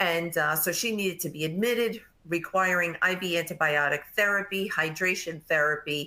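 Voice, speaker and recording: Delivered at a fairly quick pace, the voice has a strong New York accent, a bright, sharp tone and ordinary pitch variation. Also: woman. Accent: thick New York. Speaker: nurse practitioner and nursing educator. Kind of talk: webinar presentation.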